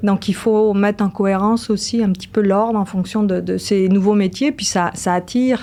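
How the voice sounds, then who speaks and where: At a moderate pace, a woman speaks in a dark, mellow tone at medium pitch with fairly even intonation. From France, Brittany. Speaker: engineering professor. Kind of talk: podcast interview. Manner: hesitant, many fillers.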